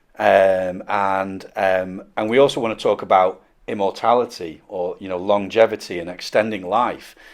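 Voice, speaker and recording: A man with an unremarkable speaking voice talks at a moderate pace and fairly low pitch, his intonation fairly even. His loudness swings widely against a quiet background. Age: 40s. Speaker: podcast host. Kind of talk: podcast interview.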